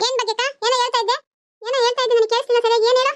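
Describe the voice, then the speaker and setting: A squeaky, cartoonish character voice rattles along at a very fast pace. Its intonation is monotone and flat, and its loudness stays very even. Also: woman, extremely high pitch for a woman. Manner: indignant, defensive.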